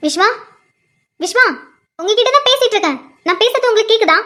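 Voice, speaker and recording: Putting on a squeaky character voice, a woman speaks at an extremely high pitch and moderate pace with lively intonation and very even loudness. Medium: cartoon.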